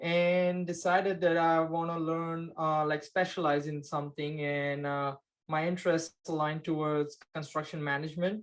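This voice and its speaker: With a Gujarati accent, the speaker talks in a monotone, flat intonation with hardly any pauses, on a very clean recording with a silent background. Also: man, fairly high pitch for a man, moderate pace. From India, Maharashtra. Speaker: construction project manager. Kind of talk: interview. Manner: hesitant, many fillers.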